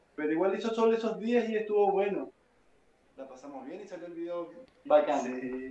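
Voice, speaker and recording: Amid audible room echo, a man with a high-pitched voice and a dark, mellow tone speaks at a moderate pace with lively intonation, big swings in loudness, and long, frequent pauses. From Venezuela. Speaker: bass player. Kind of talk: casual chat.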